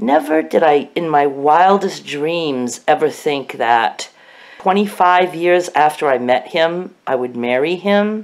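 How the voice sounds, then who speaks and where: Her pitch is very deep and low, and she has an American accent. The woman talks at a very slow pace with lively intonation. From Maine, US. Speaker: vlogger. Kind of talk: casual vlog monologue. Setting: at home in bed, self-recorded. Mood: warm, nostalgic. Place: home room. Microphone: phone near.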